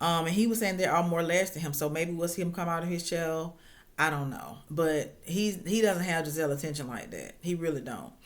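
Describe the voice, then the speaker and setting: This woman, with an unremarkable speaking voice, talks at a fairly quick pace with a fairly low pitch and fairly even intonation. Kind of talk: casual reality TV recap talk to camera. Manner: chatty, informal.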